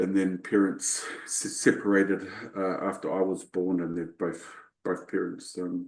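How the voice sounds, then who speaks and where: With a New Zealand accent, a man speaks at a fairly slow pace. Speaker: leadership coach. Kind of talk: interview. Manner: halting, many fillers and repetitions.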